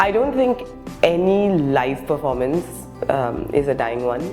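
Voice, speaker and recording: A woman's very deep, low pitch over music in the background. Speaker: actor and stand-up comedian. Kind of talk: interview answer.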